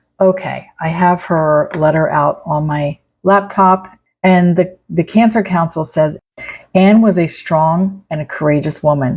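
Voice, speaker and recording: A woman with a somewhat breathy voice speaks at a fairly slow pace. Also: fairly low pitch for a woman, fairly even intonation. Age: 60s. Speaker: cancer patient vlogger. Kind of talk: casual video commentary; reading aloud.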